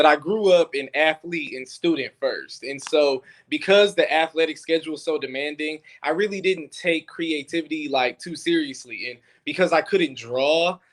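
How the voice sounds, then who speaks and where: This man has an ordinary speaking voice. His pitch is fairly high and his pace moderate. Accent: American. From Detroit, US Midwest. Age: 20s. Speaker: filmmaker. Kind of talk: interview. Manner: casual.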